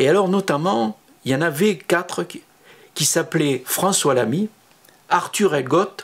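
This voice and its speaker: A man with a southern French accent, lively intonation and a moderate pace. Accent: southern French (Midi). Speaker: photographer, former studio assistant. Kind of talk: personal recollection monologue. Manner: hesitant, many filler sounds.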